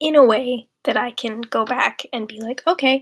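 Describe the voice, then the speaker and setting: A soft-spoken woman with ordinary pitch variation, in a dry, close sound with no echo. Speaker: writer streaming while writing. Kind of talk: casual livestream chat. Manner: quiet, soft-spoken.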